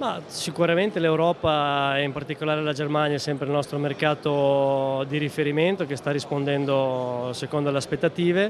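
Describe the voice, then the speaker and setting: A man talks at a moderate pace with hardly any pauses and fairly even intonation, in a dry sound with no echo and light background noise. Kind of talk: interview answer. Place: hall. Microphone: handheld.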